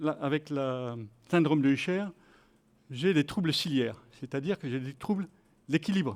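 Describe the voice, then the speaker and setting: A man's voice with lively intonation. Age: 60s. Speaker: participant in health sport program. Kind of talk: testimony. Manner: halting.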